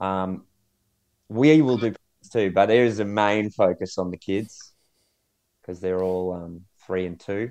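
Speaking fairly slowly with long, frequent pauses, a man with an Australian accent uses a fairly low pitch and ordinary pitch variation over a quiet background. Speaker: podcast co-host. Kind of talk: casual chat.

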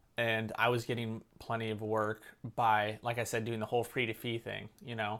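The recording is very clean, with a silent background. A man with a Californian accent talks at a moderate pace and medium pitch in a monotone, flat way. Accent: Californian American. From California, Santa Cruz. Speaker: filmmaker and YouTuber. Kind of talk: casual interview chat.

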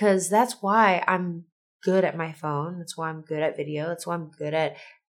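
The woman's voice is fairly low and fairly even in intonation, an unremarkable speaking voice. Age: 30s. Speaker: podcast host. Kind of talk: casual monologue.

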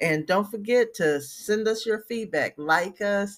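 This woman has a plain, everyday voice. She sits at a medium pitch and varies it in an ordinary way. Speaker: podcast host. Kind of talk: devotional greeting and prayer. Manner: warm, fervent, uplifting.

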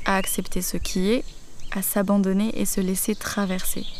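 There is audible room echo around the voice. A woman speaks at a moderate pace. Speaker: doula and podcast host. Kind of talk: solo podcast talk. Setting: outdoors in the grass under trees. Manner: hesitant with fillers.

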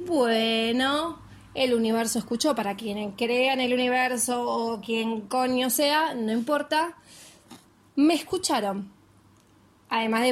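This woman's voice sits at a fairly high pitch. Her pitch varies in an ordinary way. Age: 30s. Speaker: podcaster. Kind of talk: casual monologue. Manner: consciously slowed pace.

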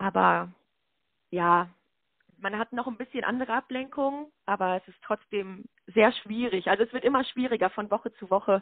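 Her voice sits fairly high with ordinary pitch variation, moving at a moderate pace with big swings in loudness and long, frequent pauses. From Lüdenscheid, Sauerland, Germany. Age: 20s. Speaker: student teacher and handball player. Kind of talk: casual interview. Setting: phone call.

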